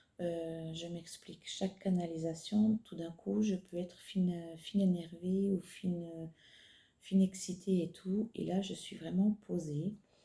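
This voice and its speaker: Soft-spoken and calm, a woman talks very slowly in a fairly low, somewhat breathy voice with a dark, mellow tone, fairly even intonation and big swings in loudness. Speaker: psychic medium channeler. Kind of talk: channeled spiritual message. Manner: slow, soft-spoken; calm, halting with fillers.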